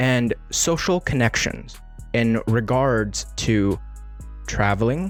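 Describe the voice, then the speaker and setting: A man speaking at a very slow pace with music in the background. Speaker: podcast host. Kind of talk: podcast intro. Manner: upbeat.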